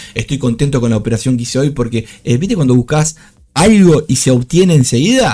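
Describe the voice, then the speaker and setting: At a fairly quick pace, a man at medium pitch speaks in a somewhat breathy, dark, mellow tone with ordinary pitch variation. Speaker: trading streamer. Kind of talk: live trading commentary. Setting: live stream. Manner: fast.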